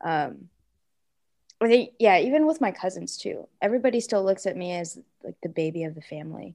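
A woman with an American accent talks at a fairly quick pace and medium pitch, with a dark, mellow tone and vocal fry. Her pitch swings very widely and her loudness swings a great deal. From Seattle, Washington, US. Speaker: podcast co-host, teacher. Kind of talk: casual chat. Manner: halting, many fillers.

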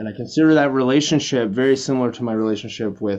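Against a quiet background, a man with an unremarkable speaking voice talks at a fairly quick pace with ordinary pitch variation. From Canada. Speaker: pop band drummer. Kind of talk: casual interview.

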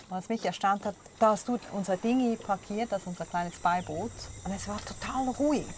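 A woman with a plain, everyday voice and medium pitch speaks at a moderate pace. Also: ordinary pitch variation. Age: 40s. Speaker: podcast host, former radio correspondent. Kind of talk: casual chat. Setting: on a sailboat.

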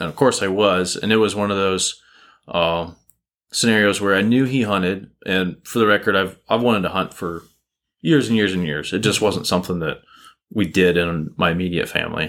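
Speaking at a moderate pace, a man with a plain, everyday voice has a fairly low pitch and ordinary pitch variation. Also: very clean recording, silent background. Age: 20s. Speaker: hunter and software company employee. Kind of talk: casual interview chat.

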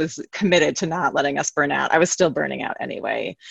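Talking at a very fast pace, a woman with a fairly low pitch sounds dry and close, with no echo. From New York City. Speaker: therapist and yoga teacher. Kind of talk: interview, casual chat.

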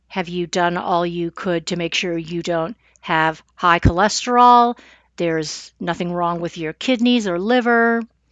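A plain, everyday voice from a woman, fairly low in pitch with ordinary pitch variation, at a fairly slow pace. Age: 50s. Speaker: podcast host and massage therapist. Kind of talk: solo podcast monologue.

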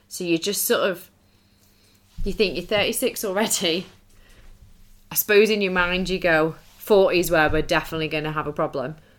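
On a very clean recording with a silent background, a woman speaks fairly quickly at a fairly low pitch with ordinary pitch variation and long, frequent pauses. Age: 30s. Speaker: podcast co-host. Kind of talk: casual chat.

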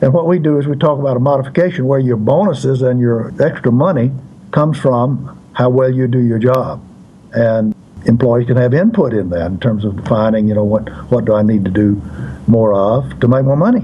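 A man talks at a fairly quick pace and medium pitch, with ordinary pitch variation. His loudness stays very even over noticeable background noise. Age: 80s+. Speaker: author and consultant. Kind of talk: interview answers.

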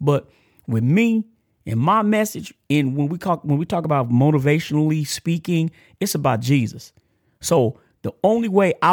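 The recording is very clean and silent in the background, with a dry, close sound and no echo. A man with a Texan accent speaks at a moderate pace and fairly high pitch, his intonation lively. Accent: country Texas. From Texas, Amarillo. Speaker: podcast host, ex-offender ministry. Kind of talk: casual motivational monologue. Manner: halting, repetitive.

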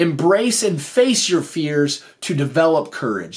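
A man speaks at a high pitch. His voice moves in very wide pitch swings. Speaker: podcast host and school teacher. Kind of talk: motivational podcast monologue. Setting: filmed video episode.

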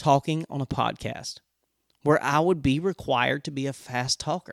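A man speaks in an animated tone with a fairly high pitch and ordinary pitch variation. The recording is very clean and dry, close with no echo and a silent background. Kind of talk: personal storytelling with faith encouragement. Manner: fast talker; animated, humorous.

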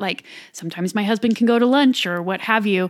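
A woman with a plain, everyday voice speaks at a medium pitch and a fairly quick pace. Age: 30s. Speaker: stay-at-home mom and macro coach. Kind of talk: casual interview chat. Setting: in the host's home.

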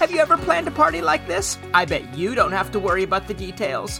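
A woman does a put-on character voice with vocal fry and a bright, sharp tone. She talks at a fast pace with big pitch swings over faint music in the background. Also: medium pitch for a woman.

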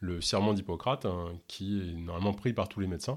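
Captured in a very clean recording with a silent background, a man speaks with a very deep, low pitch and ordinary pitch variation. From Ontario, Canada. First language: English (speaking French). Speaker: podcast host and health coach. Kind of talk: interview. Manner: hesitant, many filler words.

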